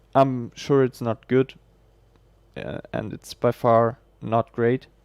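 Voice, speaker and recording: Recorded dry and close with no echo, a man with a German accent talks at a very slow pace, keeping a medium pitch and fairly even intonation while his loudness swings widely. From Germany. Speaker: game streamer and esports caster. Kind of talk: live esports commentary; casual chat with stream viewers. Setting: livestream. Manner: halting.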